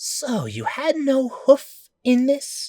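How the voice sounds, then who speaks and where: A high-pitched, put-on character voice. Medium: read story. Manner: hostile, suspicious.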